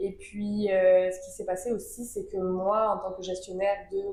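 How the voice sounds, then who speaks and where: Speaking at a fairly slow pace, a woman is heard with audible room echo. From southern France, Avignon. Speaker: event agency co-founder. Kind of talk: podcast interview.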